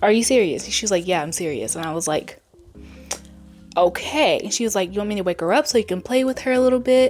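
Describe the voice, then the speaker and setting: A woman's fairly high voice with music in the background. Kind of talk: casual talk to camera.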